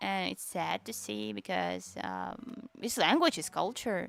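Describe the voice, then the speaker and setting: The speaker has a Tatarstan accent. The pace is fairly slow. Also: woman. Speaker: vtuber streamer. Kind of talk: casual livestream chat.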